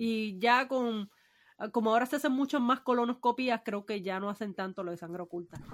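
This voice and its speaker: Recorded very cleanly against a silent background, a woman with a fairly high pitch speaks at a fairly quick pace with ordinary pitch variation. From Puerto Rico. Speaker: podcast co-host. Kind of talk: casual chat.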